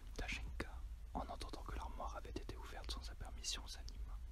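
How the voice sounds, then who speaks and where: A whisper under noticeable background noise. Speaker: ASMR reader. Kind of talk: ASMR story reading. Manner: whispered.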